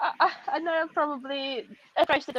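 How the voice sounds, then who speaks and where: The woman's pitch shifts in an ordinary way as she talks. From Russia. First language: Russian. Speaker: author and educator. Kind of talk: interview.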